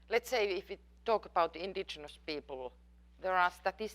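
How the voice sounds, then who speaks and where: A woman speaks with a non-native accent. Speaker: professor. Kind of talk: lecture Q&A. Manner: halting.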